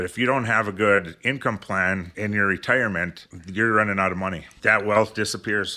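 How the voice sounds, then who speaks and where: A man talks at a moderate pace and a fairly low pitch, with hardly any pauses and fairly even intonation. His tone is bright and sharp, on a very clean recording with a silent background. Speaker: financial advisor. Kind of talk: radio talk show.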